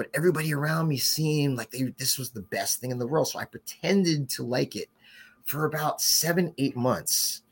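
In a New Jersey accent, a man speaks fairly quickly at a fairly high pitch, somewhat breathy, with ordinary pitch variation and a dry, close sound with no echo. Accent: New Jersey American. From New Jersey (West Orange), Haitian parents. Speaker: brewery co-founder. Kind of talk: casual interview. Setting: live podcast recording.

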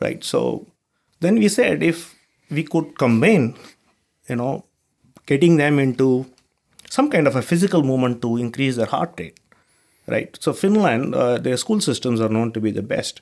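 Speaking with an Indian accent, a man with a fairly high pitch uses lively intonation at a moderate pace, with long, frequent pauses. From southern India. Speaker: startup co-founder and CEO. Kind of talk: casual interview chat.

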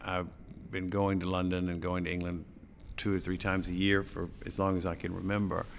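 A man with an American accent speaks in a very deep, low pitch and a monotone, flat intonation. Room echo is audible. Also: fairly quick pace. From US South, small-town Alabama. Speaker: interior designer. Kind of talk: casual interview.

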